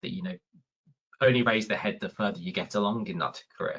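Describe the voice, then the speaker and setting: A man with a Birmingham accent, medium in pitch, with very wide pitch swings. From England, Birmingham. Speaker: research facilitator. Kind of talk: webinar talk. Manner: halting, many repeated words.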